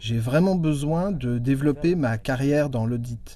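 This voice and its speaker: A man talks at a very slow pace in a dark, mellow tone. His pitch is fairly high, with ordinary variation. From Rwanda. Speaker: auditor and international student. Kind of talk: interview.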